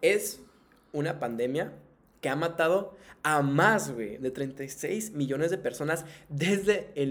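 A man with a northern Mexican accent speaks at a very slow pace, with a fairly high pitch and ordinary pitch variation. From Tijuana, northern Mexico. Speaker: podcast host. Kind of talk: casual chat; reading aloud. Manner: animated.

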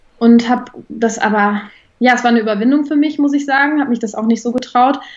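A woman speaks fairly quickly in a fairly high pitch with fairly even intonation. It is a plain, everyday voice. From Germany, Bonn. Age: 20s. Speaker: equine therapist in training. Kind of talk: interview.

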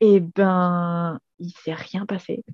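With a dark, mellow tone and fairly even intonation, a woman speaks in dry, close sound with no echo. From southern France, Montpellier. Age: 20s. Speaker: energetic aromatherapist. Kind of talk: casual interview. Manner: hesitant, many fillers.

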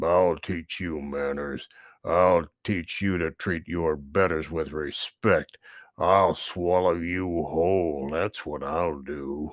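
A put-on character voice from a man, growling at a very deep, low pitch and a very slow pace. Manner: growling, threatening.

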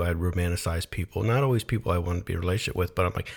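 A man's very deep, low, somewhat breathy voice with ordinary pitch variation, on a very clean recording with a silent background. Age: 30s. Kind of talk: casual chat.

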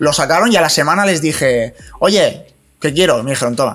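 A man with a fairly high pitch and an unremarkable speaking voice talks at a moderate pace with lively intonation. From Spain, Alcoy (Alicante). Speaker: digital marketing specialist. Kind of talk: casual chat.

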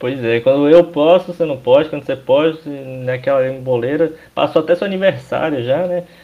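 At a fairly quick pace, a man with a fairly high pitch and an unremarkable speaking voice talks with ordinary pitch variation. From Brazil, Minas Gerais (Governador Valadares). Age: 20s. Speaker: church youth organization leader. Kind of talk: casual chat.

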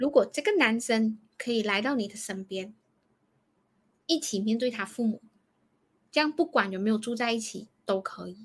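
Speaking at a moderate pace with long, frequent pauses, a woman uses a fairly high, somewhat breathy voice with ordinary pitch variation and big swings in loudness. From Malaysia. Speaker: counsellor. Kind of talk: advice discussion.

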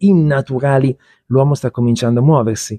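Against a quiet background, a man speaks at medium pitch in a dark, mellow tone. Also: dry, close sound with no echo. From Milan, northern Italy. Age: 50s. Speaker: author, crossdresser. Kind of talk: interview conversation. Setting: bookshop café.

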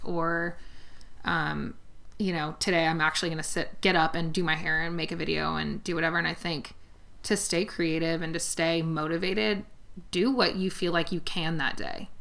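Audible room echo surrounds a woman whose fairly low-pitched voice has a bright, sharp tone and a fairly quick pace. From US West Coast, San Fernando Valley (Los Angeles). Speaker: hair stylist. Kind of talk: casual chat.

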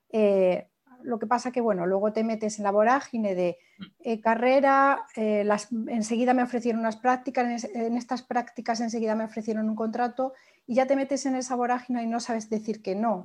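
A woman talks in a plain, everyday voice, fairly high in pitch, with fairly even intonation. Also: moderate pace, quiet background. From Spain, small village in Toledo. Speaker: social media manager and blogger. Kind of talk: interview.

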